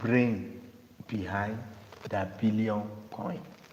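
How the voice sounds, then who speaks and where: Very slow speech carries audible room echo. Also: man. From Nigeria. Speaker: cryptocurrency promoter. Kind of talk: sales pitch.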